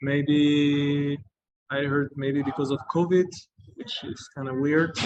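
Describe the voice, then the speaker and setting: Very slow and fairly high-pitched, a man speaks in a French accent. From France. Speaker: travelling judoka. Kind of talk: interview. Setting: video call from a coffee shop. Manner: hesitant, many fillers.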